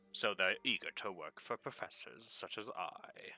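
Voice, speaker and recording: A man does a put-on character voice at a moderate pace, with music in the background. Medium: actual play. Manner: confident, lecturing.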